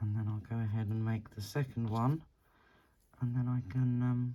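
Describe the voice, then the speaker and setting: The speech is mumbled at a moderate pace. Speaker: beading tutorial creator. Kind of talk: tutorial. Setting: living room at home. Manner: mumbling; halting, long pauses.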